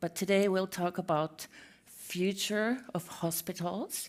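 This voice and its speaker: In a Finnish accent, a woman speaks at a fairly low pitch with fairly even intonation. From Finland. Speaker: healthcare architect, conference speaker. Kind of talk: conference talk. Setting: stage with audience.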